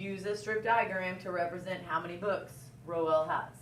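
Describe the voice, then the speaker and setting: Amid noticeable background noise and audible room echo, a woman speaks. Her medium-pitched voice moves at a fairly slow pace. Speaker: elementary school teacher. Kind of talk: recorded classroom lesson. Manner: loud.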